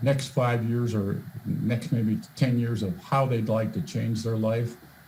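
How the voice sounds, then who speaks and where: Audible room echo surrounds a man at medium pitch who speaks at a fairly slow pace. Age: 60s. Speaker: volunteer presenter with medical background. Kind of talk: presentation. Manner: halting, many fillers and repeats.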